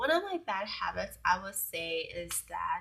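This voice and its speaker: A woman speaks with a Southeast Asian accent. Her pace is fairly slow. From Hmong-American community, US. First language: Hmong. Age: 20s. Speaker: beauty vlogger. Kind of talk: casual vlog Q&A. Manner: hesitant, many fillers.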